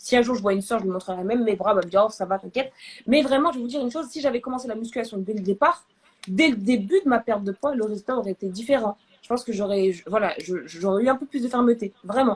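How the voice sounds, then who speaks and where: Animated and somewhat breathy, a woman talks at a very fast pace with a fairly high pitch. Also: ordinary pitch variation, big swings in loudness. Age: 20s. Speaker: therapist and medical student hosting a live. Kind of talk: live video chat. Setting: live stream.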